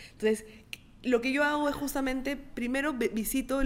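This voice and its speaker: At a fairly quick pace, a woman talks in an unremarkable speaking voice. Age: 20s. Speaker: entrepreneur, clothing brand founder. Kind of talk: casual interview.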